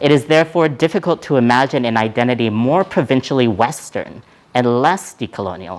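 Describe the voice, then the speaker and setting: The voice belongs to a man. It has a medium pitch. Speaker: professor. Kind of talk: lecture. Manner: fast.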